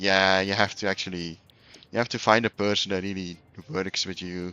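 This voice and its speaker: A man speaks with a Flemish accent in a very deep, low pitch. His intonation is monotone and flat. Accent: Flemish Dutch accent in English. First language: Dutch. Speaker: video game streamer. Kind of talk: casual live-stream chat while gaming.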